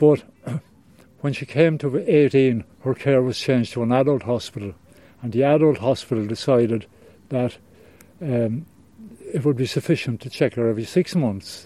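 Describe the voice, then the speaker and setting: A man with a Cork accent has a dark, mellow tone, medium pitch and ordinary pitch variation. He keeps a moderate pace broken by long, frequent pauses. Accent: Cork Irish. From Ireland, Cork. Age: 70s. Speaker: retired lighthouse keeper and charity fundraiser. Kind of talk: interview, personal storytelling. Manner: halting.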